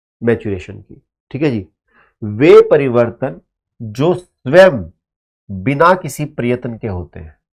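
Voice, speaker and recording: A man at a medium pitch with very wide pitch swings, big swings in loudness and long, frequent pauses, on a very clean recording with a silent background. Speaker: teacher. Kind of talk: lecture. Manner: animated.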